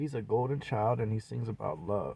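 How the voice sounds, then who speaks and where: A man with an American accent speaks at a fairly slow pace, with lively intonation and an animated tone that is somewhat breathy. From US Pacific Northwest, Seattle. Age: 40s. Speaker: independent rapper and video blogger. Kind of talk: personal monologue vlog.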